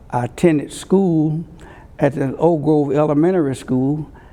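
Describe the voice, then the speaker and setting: A man with a fairly high pitch and a dark, mellow tone speaks at a fairly slow pace with fairly even intonation. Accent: Alabama. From US South, rural Alabama (Conecuh County). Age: 80s+. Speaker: civil rights leader and politician. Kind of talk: oral history interview. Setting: courtroom. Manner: halting, with frequent fillers.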